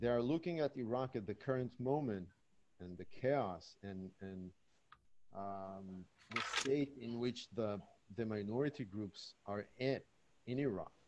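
A man speaks at a fairly slow pace and medium pitch, with ordinary pitch variation and long, frequent pauses over loud background noise. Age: young. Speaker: researcher; audience member. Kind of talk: online panel discussion. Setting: video call. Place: home room. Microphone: webcam.

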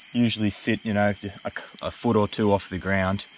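Against noticeable background noise, a man speaks in a flat monotone, the sound dry with no echo. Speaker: presenter. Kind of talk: casual educational explanation. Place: forest. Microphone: phone near.

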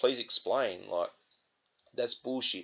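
A man with an Australian accent speaks in an angry tone. His pace is moderate, and the background is quiet. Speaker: gaming vlogger. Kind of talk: angry rant; vlog monologue to camera. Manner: angry, swearing, exasperated; repetitive, hesitant with fillers. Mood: angry, frustrated. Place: home room. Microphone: webcam.

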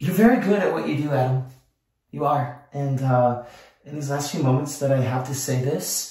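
A man is speaking with audible room echo. The background is quiet. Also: ordinary pitch variation, moderate pace. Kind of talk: casual vlog chat. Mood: sincere, a bit emotional. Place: home room.

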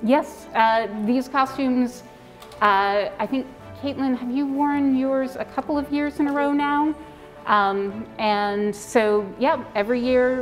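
Over faint background music, a woman with a high voice speaks very slowly, her pitch varying in an ordinary way. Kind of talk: interview answer. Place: workshop.

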